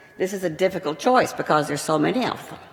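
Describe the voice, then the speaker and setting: Noticeable background noise fills the recording. Through it, a woman talks. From Texas. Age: 80s+. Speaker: retired television producer and lecture sponsor. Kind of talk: public speech.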